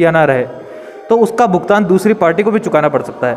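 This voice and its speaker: Light background noise is present. A man talks over it. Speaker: interviewee. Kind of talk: interview answer. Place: home room. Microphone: handheld.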